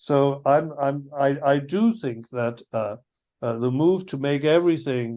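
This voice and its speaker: In an Irish accent, a man with a dark, mellow tone speaks at a fairly slow pace against a quiet background. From Ireland. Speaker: philosophy professor. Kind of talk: academic lecture. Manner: halting, many fillers and restarts.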